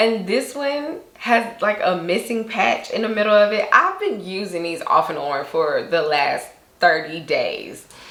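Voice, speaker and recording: Amid noticeable background noise and audible room echo, a woman speaks in an animated tone at a fairly slow pace with hardly any pauses. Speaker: beauty vlogger. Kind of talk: casual product review to camera.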